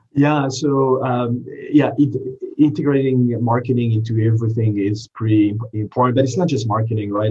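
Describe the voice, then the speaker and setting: A man with a French accent talks at a fairly quick pace in a somewhat breathy voice. His pitch is medium, with ordinary variation. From France. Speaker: marketing executive. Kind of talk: interview. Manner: halting.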